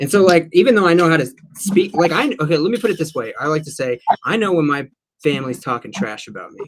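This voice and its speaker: A man speaks at a very fast pace and high pitch, with lively intonation. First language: Spanish. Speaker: livestream co-host. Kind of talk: casual chat.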